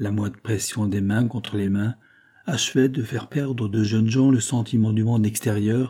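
The clip is an unforced reading voice.

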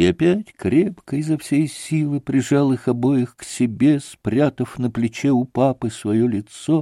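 The pitch varies in an ordinary way. The text is read aloud in a natural voice.

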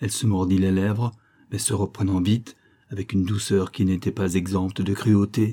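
The recording is plain reading aloud.

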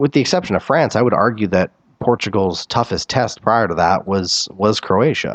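Dry and close with no echo, a man with a normal speaking voice and a fairly low pitch speaks at a moderate pace, with lively intonation and very even loudness. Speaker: soccer podcast host. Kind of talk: sports podcast commentary and analysis, recapping a match. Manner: conversational, wry and chatty.

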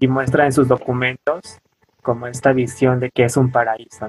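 A man speaks at a moderate pace and medium pitch in an unremarkable speaking voice. The sound is dry and close, with no echo. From Oaxaca coast, Mexico (Pinotepa Nacional). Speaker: anthropologist and weaver. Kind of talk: interview. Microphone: poor audio from technical problems.

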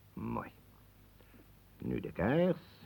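Using a put-on character voice, a man speaks at a very slow pace with very wide pitch swings, vocal fry, a slightly husky edge and a slightly mellow tone. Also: medium pitch for a man.

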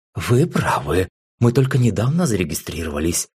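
Lively intonation in plain reading aloud, set against quiet

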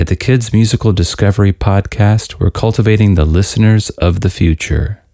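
A man with a fairly low pitch speaks at a moderate pace in an unremarkable speaking voice. The sound is dry and close, with no echo. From Texas (Austin). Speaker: musician and kids' music podcast host. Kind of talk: scripted podcast outro.

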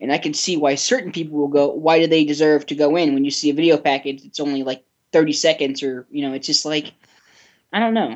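A woman with a very deep, low voice talks at a very fast pace. Her pitch variation is ordinary. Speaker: wrestling podcast panelist. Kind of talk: casual roundtable discussion.

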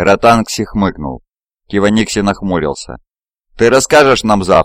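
An unforced reading voice with fairly even intonation, set against a quiet background.

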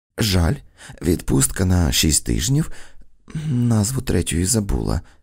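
A reading voice, unforced

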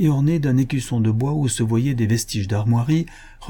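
Someone does plain reading aloud. Pitch shifts in an ordinary way.

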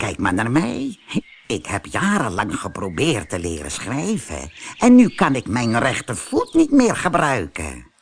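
A man puts on a character voice at medium pitch with a slightly husky edge. He moves at a fairly slow pace with few pauses and very wide pitch swings.

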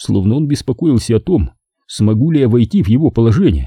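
An unforced reading voice with lively intonation is heard against a quiet background.

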